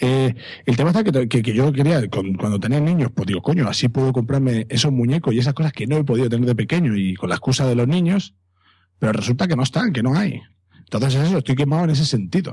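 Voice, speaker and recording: A somewhat breathy voice with a dark, mellow tone and lively intonation races along at a very fast pace. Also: man, medium pitch for a man, very even loudness. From Catalonia. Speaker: secondary school teacher and podcaster. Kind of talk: casual chat.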